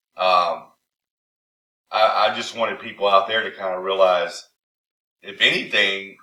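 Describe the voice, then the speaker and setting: Bright and sharp in tone yet fairly low in pitch, a man talks in a monotone, flat way at a fairly slow pace with long, frequent pauses. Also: big swings in loudness. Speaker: pallet recycling business owner and course teacher. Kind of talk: casual phone conversation.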